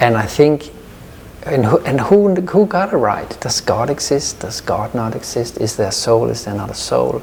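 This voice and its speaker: Here a man is talking. Noticeable background noise runs under the recording. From Denmark, Copenhagen suburb. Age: 50s. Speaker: yoga teacher. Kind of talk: interview. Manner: halting.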